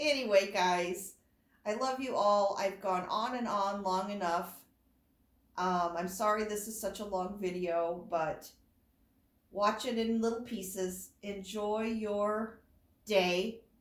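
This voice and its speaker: The delivery is very slow, with long, frequent pauses and fairly even intonation, heard with audible room echo. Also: woman, medium pitch for a woman. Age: 50s. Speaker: doll collector vlogger. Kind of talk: casual chat. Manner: rambling, unscripted.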